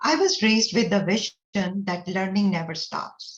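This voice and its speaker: A woman talks at a moderate pace and medium pitch. Her voice is somewhat breathy. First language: not English (multilingual). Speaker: educator. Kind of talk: conference presentation. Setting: pre-recorded session.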